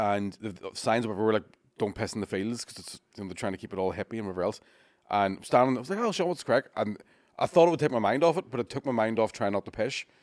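A man's medium-pitched, animated voice at a very fast pace, with lively intonation, on a very clean recording with a silent background and a dry, close sound with no echo. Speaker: podcast host. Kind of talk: casual banter chat. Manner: animated, joking.

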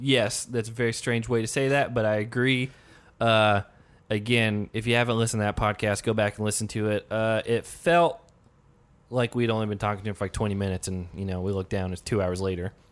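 A man with a slight Southern US accent talks at a very fast pace and a fairly low pitch. His intonation is fairly even, on a very clean recording with a silent background. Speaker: podcast host. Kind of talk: casual chat.

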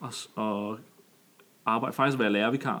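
A man is speaking. His pace is moderate. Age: 30s. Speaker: teacher-training student and podcast host. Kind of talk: casual chat.

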